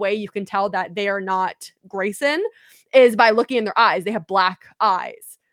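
In a normal speaking voice, the speaker goes at a fairly slow pace with ordinary pitch variation. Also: woman. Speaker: podcast host. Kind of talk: casual chat. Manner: casual, joking.

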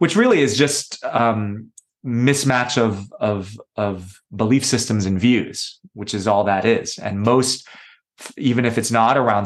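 In an American accent, a man with a plain, everyday voice speaks at a medium pitch with fairly even intonation. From US, New York City. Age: 30s. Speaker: energy healer and yoga retreat leader. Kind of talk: podcast interview.

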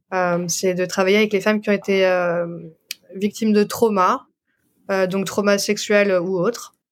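A woman's medium-pitched, monotone, flat voice at a moderate pace, on a very clean recording with a silent background. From France. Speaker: doula and osteopath. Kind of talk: interview.

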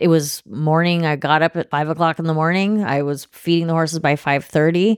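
A woman with an American accent speaks at a moderate pace in a very deep, low pitch with fairly even intonation. The recording is very clean, with a silent background and a dry, close sound with no echo. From Oregon, US. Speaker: bodywork practitioner. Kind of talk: interview.

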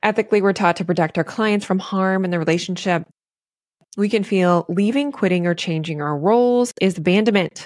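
In a very clean recording with a silent background, a woman with a normal speaking voice talks at a fairly quick pace, medium in pitch with ordinary pitch variation. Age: 40s. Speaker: podcast host and therapist. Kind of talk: solo podcast monologue. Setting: recording on video.

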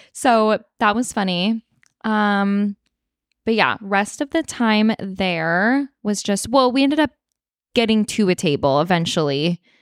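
In a very clean recording with a silent background and a dry, close sound with no echo, a woman with an American accent speaks at a fairly slow pace in a medium pitch. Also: lively intonation, very even loudness. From Northern California, Sacramento area. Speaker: podcast co-host. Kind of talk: casual chat. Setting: recording in person at friend's place.

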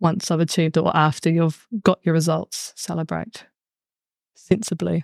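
A woman speaks with a New Zealand accent at a very deep, low pitch and a moderate pace. The sound is dry and close with no echo. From New Zealand, Bay of Plenty. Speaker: high school PE teacher and sports coach. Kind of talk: casual panel discussion.

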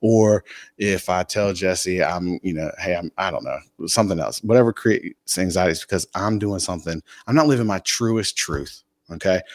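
An unremarkable speaking voice from a man with an American accent, fairly low in pitch, with ordinary pitch variation at a moderate pace, on a very clean recording with a silent background. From US South (North Carolina). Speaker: entrepreneur. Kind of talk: casual interview chat. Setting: in-person studio.

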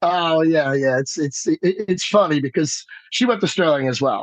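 A fairly high-pitched man with an American accent and lively intonation. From New Jersey. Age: 40s. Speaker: musician. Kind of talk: casual chat.

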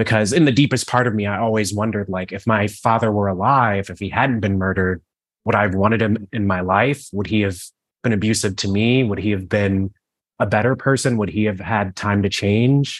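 A plain, everyday voice from a man with an American accent, fairly low in pitch, fairly quick and fairly even in intonation. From Cleveland, Ohio. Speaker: author. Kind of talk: interview Q&A.

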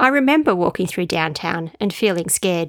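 With an Australian accent, a woman speaks at a moderate pace and medium pitch with lively intonation, the sound dry and close with no echo on a very clean recording with a silent background. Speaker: podcaster and author. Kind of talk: reading aloud from her travel diary book.

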